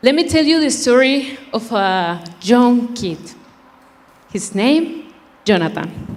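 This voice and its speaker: A woman's high voice in a Spanish accent, very slow with long, frequent pauses, very wide pitch swings, and audible room echo. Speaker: beauty pageant contestant. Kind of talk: prepared speech.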